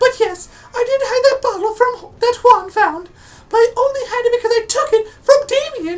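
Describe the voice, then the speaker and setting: This put-on character voice is squeaky and extremely high, moving at a fairly quick pace. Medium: game stream. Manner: prim, justifying.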